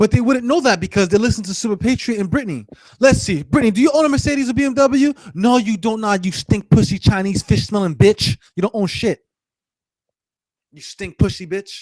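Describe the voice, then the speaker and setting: A man shouts at a high pitch, with lively intonation and big swings in loudness. The sound is dry and close, with no echo. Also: fairly quick pace. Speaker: gaming live streamer. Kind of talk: angry live stream rant. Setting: live stream. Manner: yelling; repetitive, stammering.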